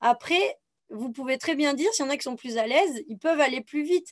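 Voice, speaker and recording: With lively intonation and a fairly quick pace, a woman speaks over a quiet background. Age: 30s. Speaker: physical trainer. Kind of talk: online workshop presentation. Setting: video call. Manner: hesitant with fillers.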